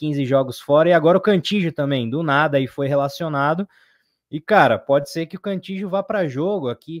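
With a plain, everyday voice, a man talks at a fairly high pitch and ordinary pitch variation. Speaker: football fan channel co-host. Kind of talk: casual live-stream chat.

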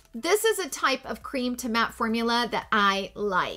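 A woman projects her voice in a high pitch with a bright, sharp tone. She speaks at a fairly slow pace. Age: 40s. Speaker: beauty YouTuber. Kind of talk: casual vlog talk to camera. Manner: upbeat and animated. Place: home room.

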